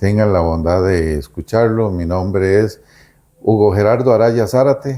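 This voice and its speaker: The speech moves at a very slow pace, with ordinary pitch variation. The tone is dark and mellow. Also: man, very clean recording, silent background. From Costa Rica. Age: 60s. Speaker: lawyer. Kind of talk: interview. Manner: hesitant with fillers.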